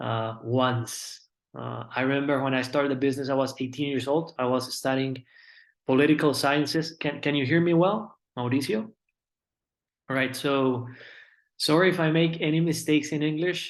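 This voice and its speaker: A man talks with a Colombian accent. The background is quiet. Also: ordinary pitch variation, moderate pace. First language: Spanish. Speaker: network marketing business speaker. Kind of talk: motivational presentation.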